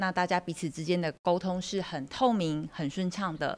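A woman speaks with a Taiwanese accent at a moderate pace. Her fairly low voice has ordinary pitch variation. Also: very clean recording, silent background. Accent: Taiwanese Mandarin. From Taiwan, Kaohsiung. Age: 40s. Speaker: career coach, semiconductor manager. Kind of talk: interview.

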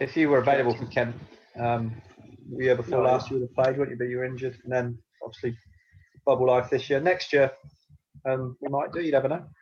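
Talking at a very fast pace, a man with a Yorkshire accent has a medium pitch and a somewhat breathy voice. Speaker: podcast host, former cricketer.

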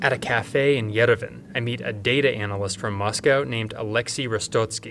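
A man speaks in an ordinary speaking voice at a medium pitch. His pace is moderate, with ordinary pitch variation. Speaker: radio reporter. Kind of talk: scripted news reporting. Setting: on location in Armenia. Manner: even, formal newsreading delivery.

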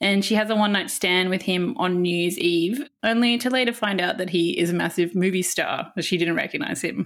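An unremarkable speaking voice moves at a fairly quick pace with hardly any pauses, very even loudness and ordinary pitch variation. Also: woman, medium pitch for a woman. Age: 30s. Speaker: film magazine editor. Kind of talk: casual chat.

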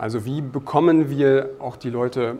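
Delivered in a monotone, flat intonation, the speech comes over noticeable background noise. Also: man. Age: 30s. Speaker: product manager. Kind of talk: interview. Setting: conference.

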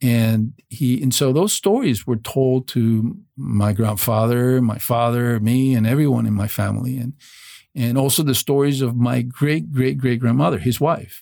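Speaking with a Spanish accent at a moderate pace, a man uses a medium pitch, ordinary pitch variation, very even loudness and a dark, mellow tone. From Venezuela. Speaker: former FBI agent and author. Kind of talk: casual interview.

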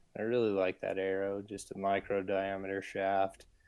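This very clean recording, with a silent background, features a speaker with an American accent. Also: man. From Utah, Salt Lake City. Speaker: bowhunter and hunting filmmaker. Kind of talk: casual interview conversation.

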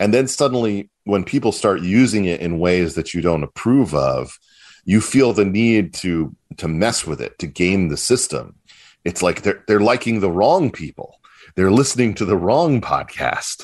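Against a quiet background, a man with an American accent speaks at a moderate pace in a fairly low pitch with lively intonation. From US South, Charleston, South Carolina. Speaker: political commentator and publisher. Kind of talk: casual interview.

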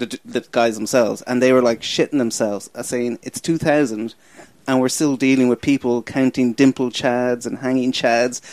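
A medium-pitched man with an American accent in a flat monotone, dry and close with no echo. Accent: Irish, slipping toward American. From Ireland. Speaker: comedian and podcast producer. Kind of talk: casual chat. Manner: fast talker.

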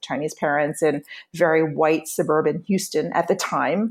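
This woman has an unremarkable speaking voice with an American accent. Her fairly low pitch varies in an ordinary way as she speaks at a moderate pace. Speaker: author and journalist. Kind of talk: interview.

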